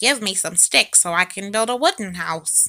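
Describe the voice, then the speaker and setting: A woman does a put-on character voice at a medium pitch and moderate pace on a very clean recording with a silent background. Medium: read story. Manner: defiant, cheeky.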